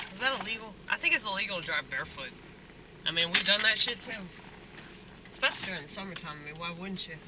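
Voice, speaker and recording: A woman with a Southern US accent, very fast pace and long, frequent pauses over loud background noise. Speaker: stand-up comedian and restaurant worker. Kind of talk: casual vlog monologue. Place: car. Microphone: phone near.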